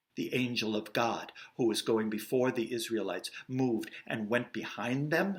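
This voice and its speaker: A man speaks with an American accent. His is an unremarkable speaking voice. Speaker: actor and director. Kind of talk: Bible story storytelling read for kids.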